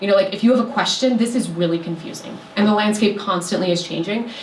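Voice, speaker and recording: With noticeable background noise and audible room echo, a woman speaks at medium pitch with ordinary pitch variation. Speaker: city sustainability official giving a talk. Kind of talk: presentation to a community meeting. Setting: meeting room with audience. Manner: fast.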